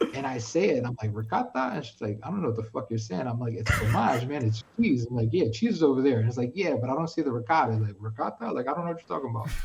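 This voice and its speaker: In a New York accent, a man speaks very fast with hardly any pauses, his medium pitch showing ordinary variation. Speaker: streamer. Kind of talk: casual chat. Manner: animated.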